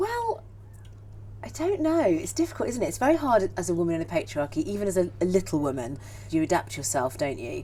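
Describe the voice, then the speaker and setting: Noticeable background noise sits behind this recording. A woman talks at a fairly quick pace. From Cornwall, Falmouth. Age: 40s. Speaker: theatre director and actor. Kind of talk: interview conversation. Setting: outdoors in a garden. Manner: animated, with frequent repetitions.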